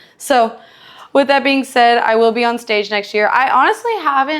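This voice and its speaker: The speaker is a woman. Her intonation rises and falls in a typical way. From Texas, Houston. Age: 20s. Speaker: fitness and cooking vlogger. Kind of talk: casual vlog chat while cooking. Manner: animated.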